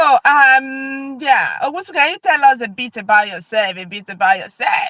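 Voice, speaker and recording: A woman with a Nigerian accent speaks at a moderate pace in a raised, projected, high voice, with very wide pitch swings, big shifts in loudness and hardly any pauses. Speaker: video host. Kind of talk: casual chat.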